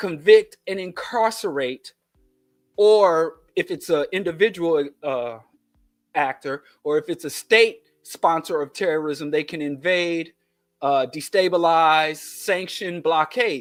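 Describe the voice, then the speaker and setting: On a very clean recording with a silent background, a man talks with a Kansas City accent at a very slow pace. His pitch is high, with ordinary pitch variation. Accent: Kansas City twang. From US Midwest, Kansas City. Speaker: podcast host. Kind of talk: political commentary monologue; casual chat. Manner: animated.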